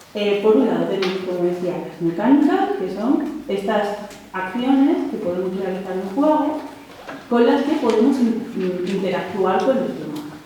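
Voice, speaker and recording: A woman of medium pitch speaks at a moderate pace with lively intonation and big swings in loudness, amid audible room echo and noticeable background noise. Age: 30s. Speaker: researcher and lecturer. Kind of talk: conference talk.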